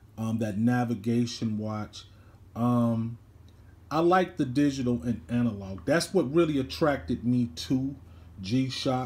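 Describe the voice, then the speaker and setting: At a fairly slow pace, the man delivers his words. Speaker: watch owner reviewing his watch. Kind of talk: casual vlog chat. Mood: relaxed, pleased. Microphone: phone near.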